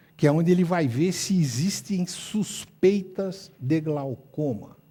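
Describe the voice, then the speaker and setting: A dark, mellow tone moves at a very slow pace with ordinary pitch variation. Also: man. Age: 70s. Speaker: ophthalmologist. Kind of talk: lecture. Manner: animated.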